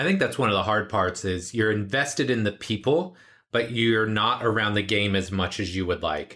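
This is a normal speaking voice with ordinary pitch variation. Its loudness stays very even. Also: man, fairly low pitch for a man, moderate pace. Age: 40s. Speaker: podcast host and strength coach. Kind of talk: casual interview chat; show intro monologue. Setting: remote call.

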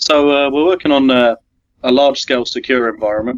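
In a British accent, a man talks with a dry, close sound that has no echo. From England. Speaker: IT consultant. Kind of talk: casual chat.

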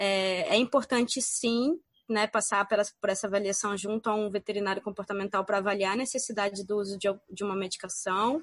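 A woman with a plain, everyday voice speaks at medium pitch and a moderate pace, with hardly any pauses. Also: fairly even intonation. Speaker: veterinarian. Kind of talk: casual chat.

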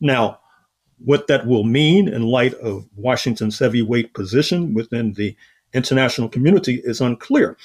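Recorded very cleanly against a silent background, a normal speaking voice moves at a moderate pace with ordinary pitch variation. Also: man, medium pitch for a man. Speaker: historian and author.

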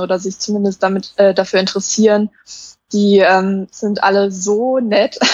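Speaking at a moderate pace, the woman keeps a medium pitch and a monotone, flat intonation. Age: 20s. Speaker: minimalism blogger. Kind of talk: casual chat.

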